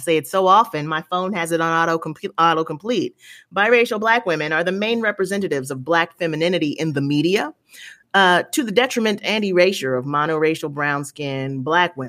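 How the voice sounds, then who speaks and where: A woman with a fairly low pitch and an unremarkable speaking voice talks at a fairly quick pace with lively intonation, in a very clean recording with a silent background. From US, grew up in military communities. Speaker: podcast guest, commentator on colorism. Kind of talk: casual interview chat.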